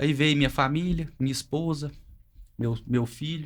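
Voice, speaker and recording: Recorded very cleanly against a silent background, a man with a fairly high pitch talks at a moderate pace. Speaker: family business manager. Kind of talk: family podcast conversation.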